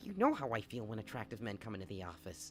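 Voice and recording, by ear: A man's put-on character voice at medium pitch, very fast pace, clear background noise throughout.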